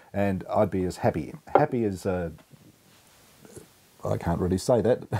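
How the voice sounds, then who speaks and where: Using lively intonation and a very deep, low pitch, a man talks at a moderate pace in an Australian accent. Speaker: beer reviewer. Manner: casual, conversational.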